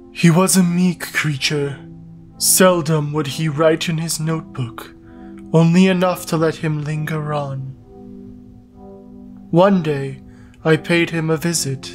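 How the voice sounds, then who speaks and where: With clear music behind him, a man in a put-on character voice speaks at a fairly high pitch, leaving long, frequent pauses. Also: fairly slow pace. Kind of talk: solemn storytelling. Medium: fan dub. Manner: calm, formal, detached.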